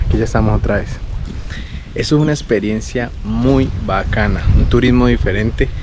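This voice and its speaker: Noticeable noise fills the background, and the room gives an audible echo. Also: man. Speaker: travel vlogger. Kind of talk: travel vlog narration. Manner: animated.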